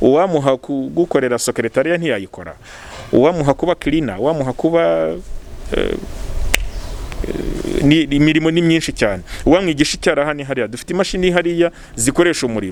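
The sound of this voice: Speaking fast but with long, frequent pauses, a man uses a fairly high, slightly mellow voice with vocal fry and lively intonation.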